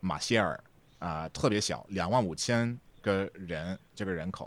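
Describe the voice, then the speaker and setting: The recording of this man is very clean, with total silence behind him. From Texas. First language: English (speaking Chinese). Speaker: podcast editor and translator. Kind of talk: casual chat.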